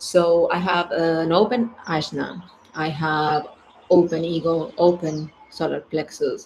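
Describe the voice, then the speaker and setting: Using a very deep, low pitch and ordinary pitch variation, a woman speaks with a non-native accent. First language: not English. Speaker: human design coach. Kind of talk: casual monologue. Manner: halting, many fillers.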